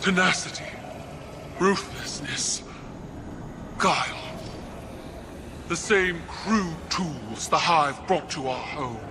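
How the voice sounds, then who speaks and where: A man's put-on character voice, high-pitched, at a very slow pace with long, frequent pauses over loud background noise. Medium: video game. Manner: stern, controlled.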